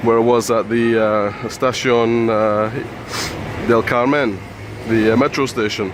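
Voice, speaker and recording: At a very slow pace, the voice keeps very even loudness and monotone, flat intonation, with audible room echo and noticeable background noise. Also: man, medium pitch for a man. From UK. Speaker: travel vlogger. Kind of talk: walking vlog commentary. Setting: outdoors, walking city streets. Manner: quiet, hushed; hesitant, many fillers.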